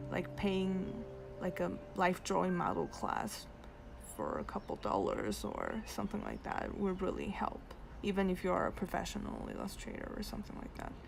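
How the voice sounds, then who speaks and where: A woman keeps a moderate pace as background noise is clearly heard behind her. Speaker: digital artist streamer. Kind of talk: live stream casual talk while drawing. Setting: live stream while drawing. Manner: halting with many fillers.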